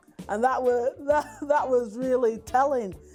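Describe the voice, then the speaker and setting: Over background music, a woman with a high voice and a West Yorkshire accent speaks at a moderate pace. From West Yorkshire, Brighouse. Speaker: community interviewee. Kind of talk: personal testimony interview. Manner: hesitant, many fillers and repeats.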